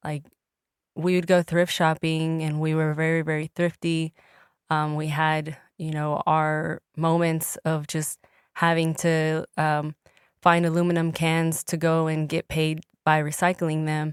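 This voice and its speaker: In a Spanish accent, a woman with a very deep, low pitch speaks at a fairly slow pace with monotone, flat intonation. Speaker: entertainer and engineer. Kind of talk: casual chat. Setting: podcast interview.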